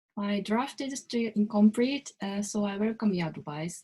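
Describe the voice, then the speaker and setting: A woman with a Japanese accent speaks at a fairly slow pace at a medium pitch. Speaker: philosopher, academic speaker. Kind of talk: academic talk.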